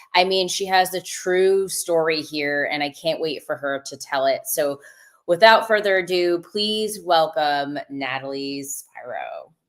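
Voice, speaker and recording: Here is a woman with a normal speaking voice, fairly low in pitch, with ordinary pitch variation. She talks at a fairly slow pace. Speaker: podcast host. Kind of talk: live podcast hosting. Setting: live stream video call.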